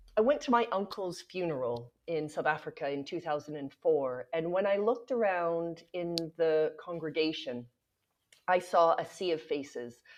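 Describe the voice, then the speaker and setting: A woman speaks with a Canadian accent at a moderate pace. Her voice is fairly low, with lively intonation. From Canada. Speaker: nonprofit founder. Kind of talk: podcast interview. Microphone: unstable internet connection.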